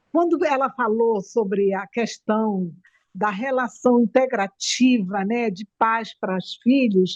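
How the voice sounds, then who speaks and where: A woman with a Manaus accent speaks very slowly, her pitch fairly high with ordinary variation. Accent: Manaus accent, noticeable. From Brazil, Manaus (Amazonas). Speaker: audience participant. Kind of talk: casual chat.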